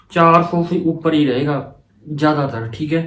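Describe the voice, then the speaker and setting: A man's voice carries audible room echo. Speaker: student advice vlogger. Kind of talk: casual explainer vlog. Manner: halting, stumbles over words.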